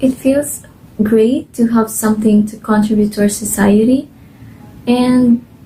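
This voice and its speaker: In a Filipino accent, a woman speaks with a fairly high, somewhat breathy voice, a dark, mellow tone and fairly even intonation. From Philippines, Cebuano-speaking region. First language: Cebuano. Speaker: volunteer translator. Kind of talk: testimony. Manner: casual, filler-heavy.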